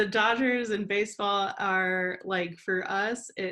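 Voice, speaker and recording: A woman's voice with ordinary pitch variation. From Southern California, Imperial Valley. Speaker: professor and researcher. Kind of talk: interview conversation. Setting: remote call from home.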